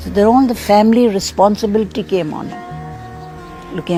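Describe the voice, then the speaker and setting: At a moderate speed, a woman talks while music runs underneath. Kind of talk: interview answer.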